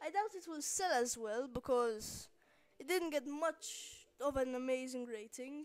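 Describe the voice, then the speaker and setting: Mumbling at a fairly slow pace, with lively intonation. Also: woman. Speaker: gaming video narrator. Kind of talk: let's play commentary.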